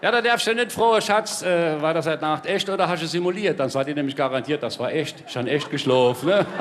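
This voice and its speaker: Fairly quick speech with lively intonation runs on with hardly any pauses against noticeable background noise. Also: man, fairly high pitch for a man. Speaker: comedian, entertainer. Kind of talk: live stage comedy routine. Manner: chatty, jovial.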